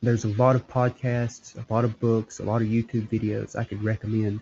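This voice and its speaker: A man speaks at a fairly quick pace in a somewhat breathy voice, medium in pitch, with monotone, flat intonation. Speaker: religious podcast host. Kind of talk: solo monologue. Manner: halting.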